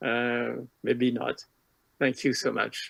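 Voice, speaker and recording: A man with a strong French accent, medium pitch and a very slow pace. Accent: French, self-described as strong. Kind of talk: lecture. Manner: halting, many filler sounds.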